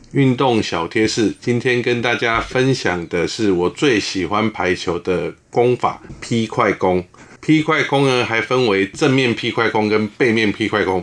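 Despite noticeable background noise, a man with medium pitch and ordinary pitch variation speaks at a fairly slow pace with hardly any pauses and very even loudness. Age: 50s. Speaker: former naval academy volleyball player. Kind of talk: interview.

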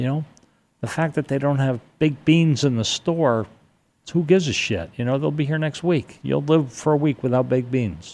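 In an American accent, a man speaks with a fairly high pitch and ordinary pitch variation. He has an ordinary speaking voice and a moderate pace. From New York City area. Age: 60s. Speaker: 9/11 survivor, guest. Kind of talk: casual interview chat.

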